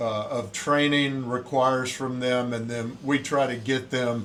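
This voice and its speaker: A man speaks with monotone, flat intonation, and audible room echo surrounds his voice. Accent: Southern US. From US South, Pensacola, Florida. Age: 60s. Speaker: Navy swim and fitness instructor, former SEAL. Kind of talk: casual interview.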